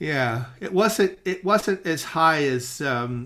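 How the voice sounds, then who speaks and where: A man with an American accent talks in a bright, sharp tone. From Eugene, Oregon, US. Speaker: jazz show co-host. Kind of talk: casual interview chat. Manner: halting, many fillers.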